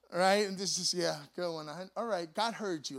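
A man with a high voice talks at a very fast pace on a very clean recording with a silent background. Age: 40s. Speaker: pastor. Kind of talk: sermon. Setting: church.

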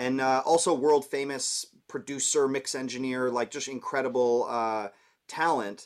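An ordinary speaking voice from a man at medium pitch, with fairly even intonation and a moderate pace, on a very clean recording with a silent background. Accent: Canadian. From Canada, Toronto. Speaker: music producer and mix engineer. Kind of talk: casual interview.

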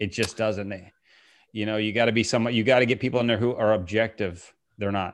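Over a quiet background, a man with a plain, everyday voice and an American accent speaks at a fairly quick pace, fairly low in pitch and fairly even in intonation. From Virginia, US. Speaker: podcast host. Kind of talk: casual chat.

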